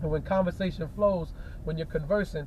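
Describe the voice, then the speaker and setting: Someone speaks very fast in a New York accent. The pitch rises and falls in an ordinary way. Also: man. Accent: New York hip hop vernacular. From New York City. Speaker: hip hop artist. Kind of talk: casual chat. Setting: in a car. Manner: animated.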